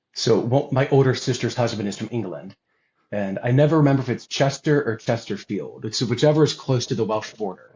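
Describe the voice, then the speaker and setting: This voice has an American accent. It sounds somewhat breathy. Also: man, medium pitch for a man, ordinary pitch variation, fairly quick pace. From US South. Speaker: guest on religious podcast. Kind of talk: casual chat.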